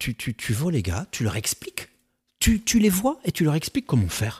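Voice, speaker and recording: With a dry, close sound and no echo, a man speaks somewhat breathily, his pitch swinging very widely. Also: very clean recording, silent background. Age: 50s. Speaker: real estate agency founder. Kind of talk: casual chat.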